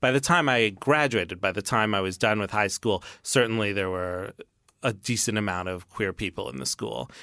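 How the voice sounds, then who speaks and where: A man with a fairly low pitch and a bright, sharp tone speaks at a moderate pace with lively intonation and vocal fry, on a very clean recording with a silent background. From New York City. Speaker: author. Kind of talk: interview.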